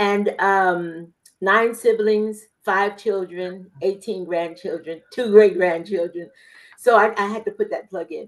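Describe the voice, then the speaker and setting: A woman with an American accent speaks in a normal speaking voice at a medium pitch, her intonation fairly even. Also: fairly slow pace, big swings in loudness. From California, military family moving around. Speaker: grant writer and author. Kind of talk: self-introduction.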